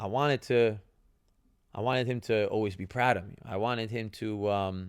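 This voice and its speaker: A man with a New Jersey accent at medium pitch, in a very clean recording with a silent background. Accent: New Jersey American English. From New Jersey, US. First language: Italian. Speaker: retired professional soccer player, podcast host. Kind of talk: casual podcast monologue. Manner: conversational, with fillers and repetitions.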